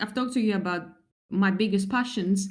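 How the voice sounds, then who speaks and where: A woman's voice is heard with audible room echo. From Greece. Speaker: translator and travel writer. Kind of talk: interview.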